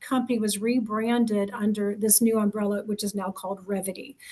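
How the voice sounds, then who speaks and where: Somewhat breathy, a woman with a fairly high pitch talks at a fairly quick pace in a monotone, flat intonation. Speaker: recruiter. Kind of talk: presentation. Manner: fast; many fillers (um, you know).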